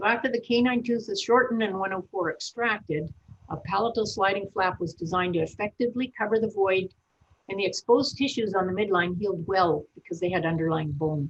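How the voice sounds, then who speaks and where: A woman with a medium pitch and a somewhat breathy voice talks at a fairly quick pace with ordinary pitch variation. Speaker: veterinarian. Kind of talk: webinar presentation. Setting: online webinar.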